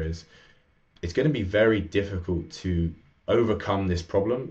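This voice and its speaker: A man speaks with a very deep, low pitch and a somewhat breathy quality. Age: 20s. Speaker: men's coach. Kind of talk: interview conversation.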